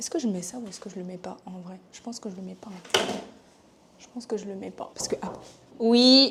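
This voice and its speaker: Speaking at a fairly quick pace, a woman uses a medium pitch with ordinary pitch variation and big swings in loudness. Long, frequent pauses break up her speech, and noticeable background noise is present. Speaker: vlogger. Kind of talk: casual travel vlog. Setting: outdoors, bus stop on road trip; hotel room. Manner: casual, hesitant fillers.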